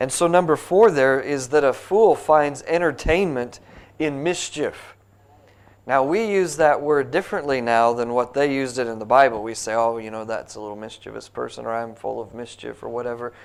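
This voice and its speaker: With an American accent, a man at a medium pitch speaks at a moderate pace, his lively intonation paired with big swings in loudness. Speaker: pastor. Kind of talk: Bible study teaching. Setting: church Sunday school class.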